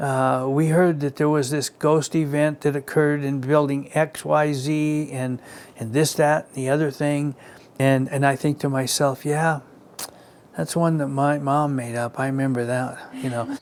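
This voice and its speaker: This man talks at a fairly slow pace in a fairly high pitch, his intonation monotone and flat. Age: 70s. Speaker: longtime local resident. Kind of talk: documentary interview. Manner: halting, many repeats and fillers.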